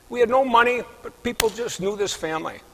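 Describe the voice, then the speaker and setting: Noticeable background noise sits under this recording. A man speaks at a moderate pace with ordinary pitch variation. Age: 70s. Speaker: inventor and clinical professor. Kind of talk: interview testimony.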